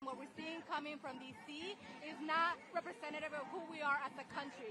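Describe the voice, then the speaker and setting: A woman uses a raised, projected voice with a bright, sharp tone at a high pitch. Crowd noise sits in the background, along with audible room echo. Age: 40s. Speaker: social worker, activist. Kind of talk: street interview.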